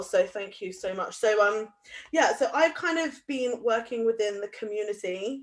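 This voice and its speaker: With a West Country accent, a woman talks at a moderate pace and medium pitch over a quiet background. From Somerset, England. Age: young. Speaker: youth community activist. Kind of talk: guest talk at live online event. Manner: casual, hesitant with fillers.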